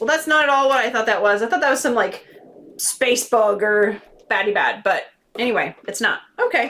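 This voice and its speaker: With ordinary pitch variation, a woman talks in a high register. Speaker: board game reviewer. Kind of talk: unboxing video. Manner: casual, chatty; fast.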